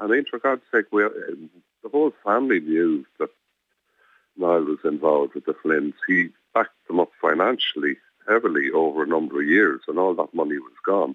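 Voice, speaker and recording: A man speaks in an Irish accent at a moderate pace. His pitch is very deep and low. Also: lively intonation. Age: 70s. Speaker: campaigner, victim's relative. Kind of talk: phone interview. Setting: phone call.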